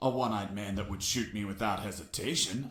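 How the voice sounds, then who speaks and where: A man speaks in a put-on character voice, fairly low in pitch. The pace is fairly quick, with ordinary pitch variation. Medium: video game. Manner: deadpan, sardonic.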